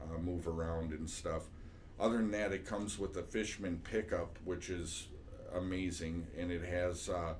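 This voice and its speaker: With audible room echo, a man speaks in a very deep, low pitch, somewhat breathy and in a monotone, flat intonation. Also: moderate pace. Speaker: music teacher. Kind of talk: tutorial. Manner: casual, with many fillers.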